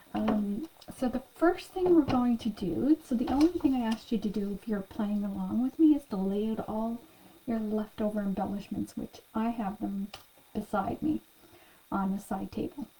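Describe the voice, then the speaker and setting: Soft-spoken and fairly high-pitched, a woman talks at a moderate pace with lively intonation amid noticeable background noise. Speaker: craft class instructor. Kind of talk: tutorial.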